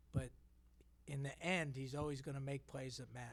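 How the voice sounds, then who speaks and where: At a moderate pace, a man speaks in a fairly high, somewhat breathy voice. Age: 60s. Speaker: basketball head coach. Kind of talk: press conference.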